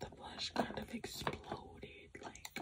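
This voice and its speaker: Whispering from a woman. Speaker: ASMR content creator. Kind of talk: casual talk to camera. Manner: whispered, soft-spoken. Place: home room.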